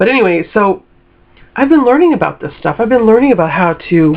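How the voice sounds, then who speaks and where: The intonation is lively. A woman talks in an American accent. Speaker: lifestyle vlogger. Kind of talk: casual motivational monologue. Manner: animated.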